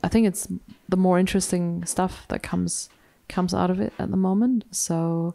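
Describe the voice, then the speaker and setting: Delivered with a German accent, the voice has a dark, mellow tone, fairly even intonation, and a moderate pace. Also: woman, medium pitch for a woman. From Germany. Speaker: novelist. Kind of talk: literary event conversation.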